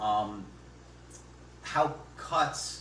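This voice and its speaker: Audible echo from the room and noticeable background noise surround a man as he talks. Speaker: local election candidate. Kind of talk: public forum discussion. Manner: loud; halting, repeats words.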